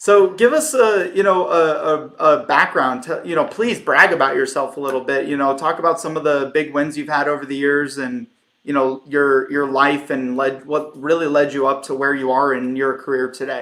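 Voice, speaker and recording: A man with an American accent has a plain, everyday voice at a moderate pace. His pitch is fairly high, with ordinary pitch variation. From United States. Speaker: podcast host. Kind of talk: podcast interview. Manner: casual.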